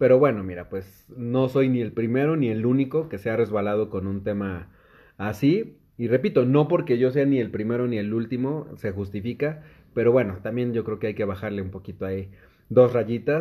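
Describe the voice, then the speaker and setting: A man speaks in a plain, everyday voice at a moderate pace. His medium pitch shows ordinary pitch variation. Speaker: podcast host. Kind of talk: casual chat.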